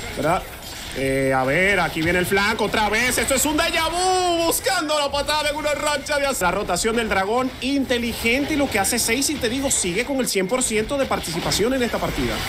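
An energetic man speaks at an extremely high pitch with very wide swings. His pace is moderate, and noticeable background noise is present. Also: very even loudness. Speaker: esports play-by-play caster. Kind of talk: live esports play-by-play commentary. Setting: streamed esports broadcast. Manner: rhythmic and energetic, hyping the crowd.

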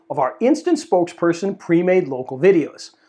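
The man's intonation is lively and his pace moderate, with a quiet background behind him. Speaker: presenter. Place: studio. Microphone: lapel.

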